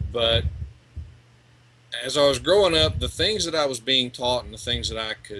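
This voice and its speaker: A man with an American accent, bright and sharp in tone, with vocal fry, at a moderate pace. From East Texas, US. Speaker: legal rights researcher, ex-deputy sheriff. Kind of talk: interview.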